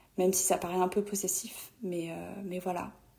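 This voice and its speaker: Noticeable background noise sits behind a woman speaking in a monotone, flat intonation. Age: 20s. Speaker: friend of the host, trainee social worker. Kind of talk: recorded voice message testimony. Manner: hesitant, many fillers.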